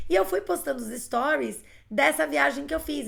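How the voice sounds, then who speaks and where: A woman with a fairly high pitch talks at a moderate pace, her voice showing vocal fry. Her pitch swings very widely. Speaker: English teacher. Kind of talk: live online class.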